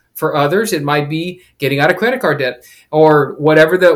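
Using a normal speaking voice, this man talks fairly high, his pitch varying in an ordinary way. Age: 40s. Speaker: author and amateur triathlete. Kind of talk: casual interview.

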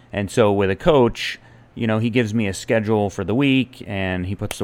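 A man with a normal speaking voice talks at a moderate pace, his pitch fairly low with ordinary variation. The recording is very clean, with a silent background. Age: 40s. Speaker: podcast host and amateur athlete. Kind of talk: solo monologue. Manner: casual with frequent fillers and repetitions.

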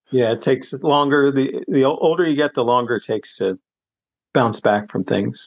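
In a normal speaking voice with an American accent, the speaker keeps a moderate pace and ordinary pitch variation, the sound dry and close with no echo. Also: man, medium pitch for a man. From US, suburban Philadelphia. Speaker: retired recreational runner and cyclist. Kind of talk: casual chat.

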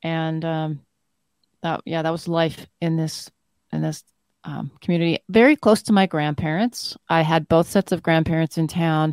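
A woman with a Canadian accent and a normal speaking voice, fairly low in pitch, with fairly even intonation at a fairly slow pace, in a very clean recording with a silent background. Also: dry, close sound with no echo. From northern Manitoba, Canada. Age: 50s. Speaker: doctor. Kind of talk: casual interview.

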